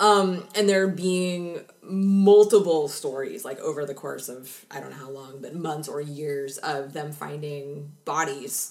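With an American accent and a very deep, low pitch, a woman speaks at a fairly slow pace with hardly any pauses, ordinary pitch variation and big swings in loudness, while noticeable background noise is heard. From Seattle, US Pacific Northwest. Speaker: true crime podcast co-host. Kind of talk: casual chat.

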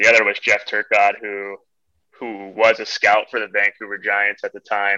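This man talks at a moderate pace in an American accent, with a bright, sharp tone. His loudness swings widely. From California. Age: 30s. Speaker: professional hockey player. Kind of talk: casual interview chat. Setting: video call.

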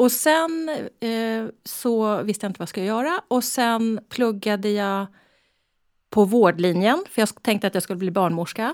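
A woman's fairly high voice at a fairly slow pace, in a very clean recording with a silent background. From Stockholm area, Sweden. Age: 60s. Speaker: breast cancer surgeon. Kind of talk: interview.

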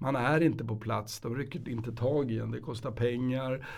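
A man's somewhat breathy voice, dark and mellow in tone, with fairly even intonation and audible room echo. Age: 50s. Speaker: lawyer. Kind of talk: casual chat. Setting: studio.

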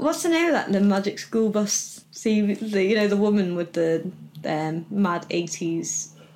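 A woman speaks in an unremarkable speaking voice at medium pitch, with lively intonation. Her pace is fairly slow and her loudness very even. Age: 30s. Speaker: podcast host and burlesque performer. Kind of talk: casual chat.

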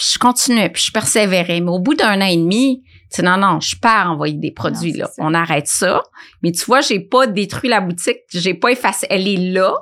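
On a very clean recording with a silent background, a woman talks at a moderate pace and medium pitch with lively intonation. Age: 50s. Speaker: nutritionist and food entrepreneur. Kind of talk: interview conversation.

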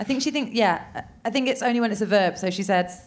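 At a fairly quick pace, a woman speaks with an English accent and ordinary pitch variation. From England. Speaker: podcaster. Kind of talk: live comedy interview podcast. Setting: stage with audience.

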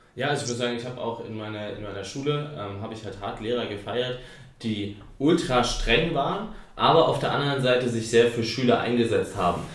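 A man at a medium pitch with ordinary pitch variation and a fairly quick pace, with audible room echo and noticeable background noise. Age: 20s. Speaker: podcast host and company founder. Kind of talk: casual chat.

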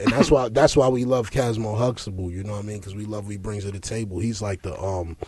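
A man talks quickly in a fairly low voice with a slightly mellow tone. His intonation stays fairly even.

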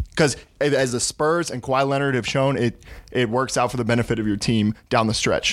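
With an American accent, a man with a normal speaking voice and medium pitch talks at a fairly quick pace and with fairly even intonation. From Texas. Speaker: sports podcast contributor. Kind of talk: casual chat.

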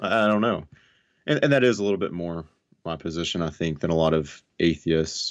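A man's very deep, low voice in a Southern US accent, at a fairly quick pace with ordinary pitch variation, against a quiet background. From US South (North Alabama). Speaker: atheist YouTuber. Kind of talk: casual interview discussion.

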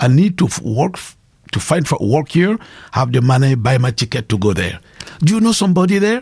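With a West African French accent, a man speaks at a fairly quick pace in a fairly high, somewhat breathy voice with very wide pitch swings. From Burkina Faso. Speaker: pastor and evangelist. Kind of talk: interview testimony.

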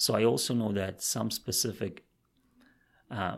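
In a non-native accent, a man talks with a fairly low pitch, vocal fry and ordinary pitch variation on a very clean recording with a silent background. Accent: foreign-accented English. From outside Canada, immigrant. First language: not English. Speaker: career advisor. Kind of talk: interview.

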